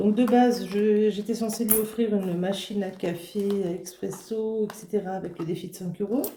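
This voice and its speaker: Noticeable background noise sits behind a woman at medium pitch. She keeps a fairly even intonation. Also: moderate pace. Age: 20s. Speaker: budgeting vlogger. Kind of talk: casual vlog talk to camera. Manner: halting, many fillers.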